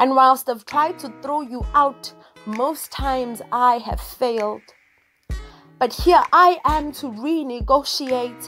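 A woman's high-pitched voice with ordinary pitch variation, very slow pace and big swings in loudness, music in the background. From South Africa. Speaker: spoken word poet. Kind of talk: spoken word poetry performance. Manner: slow, reflective.

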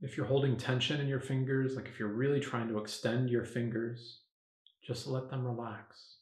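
Somewhat breathy, a man speaks with monotone, flat intonation at a moderate pace. The background is quiet, with audible room echo. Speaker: meditation teacher. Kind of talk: guided meditation. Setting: video, standing up while demonstrating. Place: home room.

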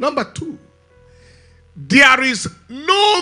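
A man's raised, projected voice over faint background music. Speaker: preacher. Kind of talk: sermon. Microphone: handheld.

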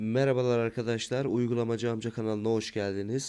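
On a very clean recording with a silent background, a man speaks at a medium pitch. His tone is dark and mellow, and his pace is moderate. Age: 20s. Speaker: YouTuber reviewing apps. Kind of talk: app review tutorial.

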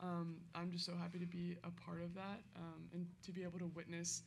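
Speaking at a fairly quick pace, a woman has a fairly low pitch, a slightly mellow tone, vocal fry and monotone, flat intonation.

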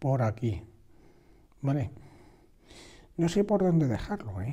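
A man's fairly high-pitched, somewhat breathy voice with a dark, mellow tone. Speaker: drawing teacher. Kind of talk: tutorial. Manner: halting.

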